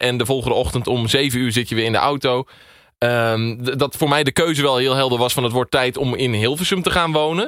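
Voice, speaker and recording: Medium pitch from a man, with ordinary variation in pitch. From Twente, eastern Netherlands (Enter). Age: 20s. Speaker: radio producer. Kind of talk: interview. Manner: halting, with many fillers.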